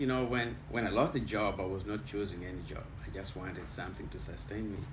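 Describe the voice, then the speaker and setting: A man talks at a very fast pace in a somewhat breathy voice, with audible room echo. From Kenya. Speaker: immigrant interviewee. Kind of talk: casual interview. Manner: halting.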